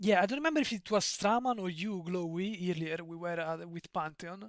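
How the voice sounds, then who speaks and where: A man's fairly quick delivery, high-pitched, in a strong Italian accent. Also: ordinary pitch variation. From Italy. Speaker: streamer. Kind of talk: live stream chat. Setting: live stream. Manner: halting, frequent repetitions and fillers.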